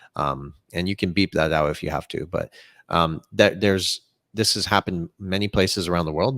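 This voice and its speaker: A man with a very deep, low voice talks at a fairly quick pace with ordinary pitch variation, recorded very cleanly against a silent background with a dry, close sound and no echo. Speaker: crypto commentator. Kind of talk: podcast interview. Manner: animated.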